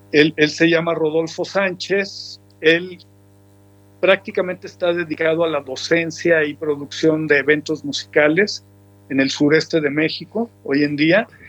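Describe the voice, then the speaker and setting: In an ordinary speaking voice, a man with fairly high pitch talks at a fairly slow pace with ordinary pitch variation. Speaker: musician. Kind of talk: interview.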